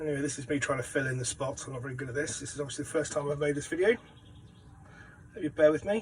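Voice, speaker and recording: Over noticeable background noise, a man with a British accent and a fairly high pitch talks at a very fast pace with ordinary pitch variation and long, frequent pauses. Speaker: home cook. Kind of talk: cooking tutorial. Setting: caravan kitchen.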